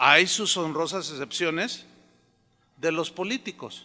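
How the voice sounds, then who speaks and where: A man speaks at a high pitch with a bright, sharp tone. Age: 60s. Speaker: pastor. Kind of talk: sermon. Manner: conversational, anecdotal with acted dialogue.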